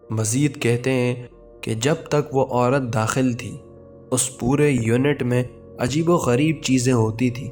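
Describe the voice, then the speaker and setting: A man's medium-pitched voice with fairly even intonation, set against music in the background. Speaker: horror story narrator. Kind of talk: horror story narration.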